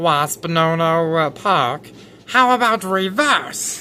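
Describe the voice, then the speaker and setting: Someone performs a put-on character voice at a very slow pace and a middle pitch. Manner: silly, playful.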